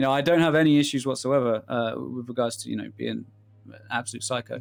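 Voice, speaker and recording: A man with a British accent at a very fast pace, with big swings in loudness. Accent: British, moderate middle-ground. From English Midlands. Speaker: interviewer, gaming content creator. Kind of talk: casual interview chat.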